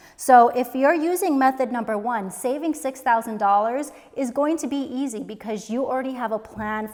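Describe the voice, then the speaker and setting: Her intonation is lively, and this woman's pitch sits fairly high. She talks at a moderate pace. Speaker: personal finance youtuber. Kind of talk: tutorial. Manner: casual.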